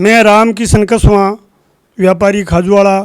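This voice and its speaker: With a high-pitched voice, this man keeps his intonation fairly even. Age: 60s. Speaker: local trader and farmer, party supporter. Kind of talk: interview.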